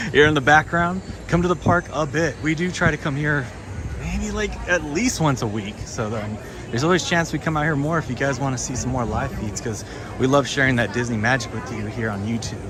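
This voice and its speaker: Amid noticeable background noise and audible room echo, a man with an American accent speaks at a medium pitch and a fairly quick pace, his pitch varying in an ordinary way. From Southern California. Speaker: vlogger livestreaming a theme park. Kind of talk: casual live stream chat.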